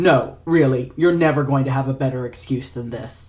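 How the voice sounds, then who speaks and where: A man puts on a drawling character voice at a medium pitch. His pace stays moderate. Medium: read story. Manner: drawling, dry, mocking.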